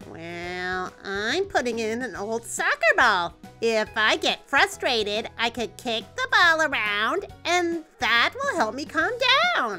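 Over clear music in the background, a female-sounding cartoonish character voice with fairly high pitch speaks at a fairly slow pace. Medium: puppet show. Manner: soft, sincere.

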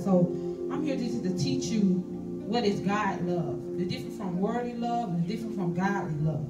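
Loud music plays behind a woman who speaks at a moderate pace. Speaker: guest. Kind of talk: sermon. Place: church. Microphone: camera far.

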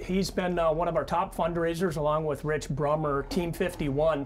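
A man talks at a fairly quick pace with light background noise behind him. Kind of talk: informal presentation to camera. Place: hall. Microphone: lapel.

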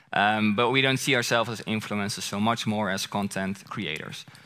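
With a strong Dutch accent, a man speaks at a moderate pace in a bright, sharp tone. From Netherlands. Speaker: content creator. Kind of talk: conference presentation. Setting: stage with audience. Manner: casual. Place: stage. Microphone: headset.

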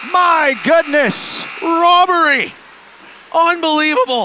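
A man's raised, projected voice, dry with no echo, over light background noise. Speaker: play-by-play announcer. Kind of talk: live sports commentary (play-by-play). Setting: game broadcast highlights. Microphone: headset.

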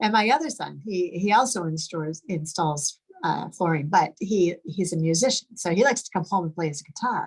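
Over a quiet background, a woman with a fairly low, somewhat breathy voice speaks at a fairly quick pace with lively intonation. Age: 50s. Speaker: product distributor; presenter. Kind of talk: testimony. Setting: video call. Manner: excitable. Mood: warm, enthusiastic. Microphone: video call.

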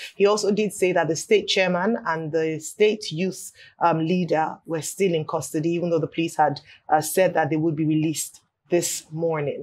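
A woman with a fairly low pitch and an unremarkable speaking voice, with fairly even intonation at a moderate pace. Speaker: news anchor. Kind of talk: news reading. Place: studio.

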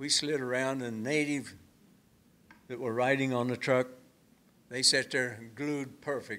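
A man with a bright, sharp tone speaks with long, frequent pauses. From Oklahoma. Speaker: atomic test veteran. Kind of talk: talk to audience; storytelling talk to audience. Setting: stage with audience at museum. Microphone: too far from the mic; podium.

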